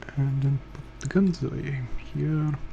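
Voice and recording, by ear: Speaking at a fairly slow pace, a man with a fairly high pitch, a dark, mellow tone and vocal fry keeps his intonation fairly even.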